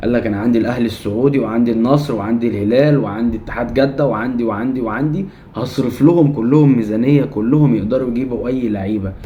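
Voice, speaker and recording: A man at medium pitch with hardly any pauses, along with audible room echo and noticeable background noise. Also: ordinary pitch variation. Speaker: football commentary YouTuber. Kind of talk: opinion rant to camera. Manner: heated, animated.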